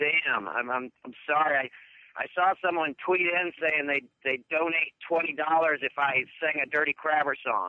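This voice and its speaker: A man with a plain, everyday voice speaks at a moderate pace and a fairly high pitch. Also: ordinary pitch variation. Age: 40s. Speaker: caller, entertainer. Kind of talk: casual chat. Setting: phone call.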